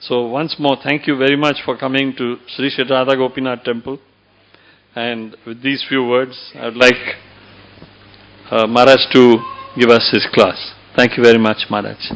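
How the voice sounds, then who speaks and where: Music plays behind a man of medium pitch. His intonation is flat and monotone, broken by long, frequent pauses. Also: moderate pace. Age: 70s. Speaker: temple member introducing the speaker. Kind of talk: formal introduction speech.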